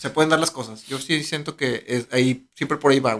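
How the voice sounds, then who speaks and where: A man with a Mexican accent, a bright, sharp tone and a moderate pace. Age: 30s. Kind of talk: casual chat.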